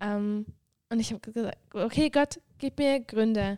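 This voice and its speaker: Dark and mellow in tone, a woman's voice sits at a fairly high pitch with ordinary pitch variation. She speaks at a fairly slow pace, and the sound is dry and close with no echo. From Switzerland, Graubünden. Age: 20s. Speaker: mission school student, former medical student. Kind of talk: casual chat.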